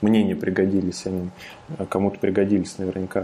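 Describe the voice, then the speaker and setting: The man's voice has a dark, mellow tone. He delivers his words with monotone, flat intonation. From Russia, Ramenskoye, Moscow region. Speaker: founder of an online programming school. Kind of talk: casual interview.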